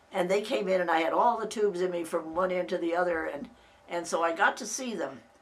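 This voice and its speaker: A woman at a very fast pace, with ordinary pitch variation and noticeable background noise. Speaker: family oral history narrator. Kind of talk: personal reminiscence. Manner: halting, with many restarts.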